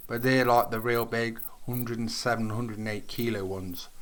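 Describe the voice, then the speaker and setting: Here a man speaks with a British accent. His pitch is medium. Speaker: gaming YouTuber. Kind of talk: gameplay commentary. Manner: halting.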